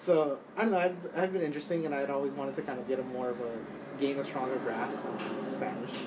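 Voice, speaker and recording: With an American accent, the speaker talks at a very fast pace with ordinary pitch variation, amid audible room echo and noticeable background noise. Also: man, fairly high pitch for a man. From Texas, Dallas. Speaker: college student. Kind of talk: interview.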